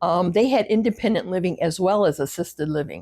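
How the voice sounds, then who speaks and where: A woman speaks with a medium pitch and ordinary pitch variation in an ordinary speaking voice. The recording is very clean, with a silent background. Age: 60s. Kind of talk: casual talk to camera. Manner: reflective.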